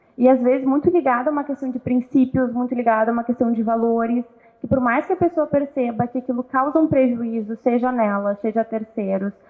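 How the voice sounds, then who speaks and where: A woman speaks at a fairly quick pace in a high voice, her intonation fairly even. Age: 30s. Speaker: psychologist, co-host. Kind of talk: casual talk show conversation. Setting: live stream.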